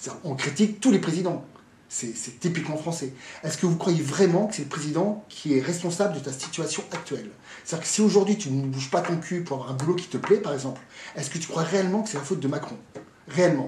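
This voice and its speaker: Over noticeable background noise and audible room echo, a man talks very fast in a high, animated voice, his loudness swinging widely. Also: ordinary pitch variation. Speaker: fitness coach and motivational speaker. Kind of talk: motivational talk to camera.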